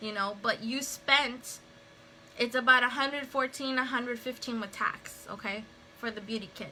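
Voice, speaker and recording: A woman with a high pitch speaks at a fairly slow pace while music plays in the background. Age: 30s. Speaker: makeup seller and stay-at-home mother. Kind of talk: casual livestream talk to camera. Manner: chatty, rambling.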